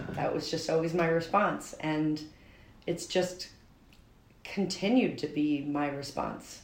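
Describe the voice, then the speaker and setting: In a room with audible echo, a woman with an American accent speaks very slowly with fairly even intonation and long, frequent pauses. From Albany, New York. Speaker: teacher and mother of triplets. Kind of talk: interview testimony. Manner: hesitant, many fillers.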